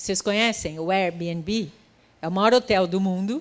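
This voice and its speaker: A woman with an ordinary speaking voice and medium pitch talks at a fairly slow pace with lively intonation. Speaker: futurist and creative economy specialist. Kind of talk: conference talk.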